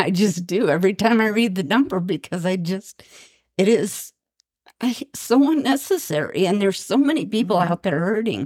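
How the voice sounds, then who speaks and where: In an unremarkable speaking voice of medium pitch, a woman talks at a moderate pace with lively intonation. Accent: American. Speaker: bereaved parent and suicide prevention speaker. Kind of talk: emotional personal testimony.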